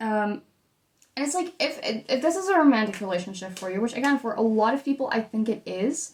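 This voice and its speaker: This woman has a fairly high pitch and lively intonation. She speaks at a fairly quick pace. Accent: Dutch. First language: Dutch. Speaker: tarot reader. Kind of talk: tarot reading.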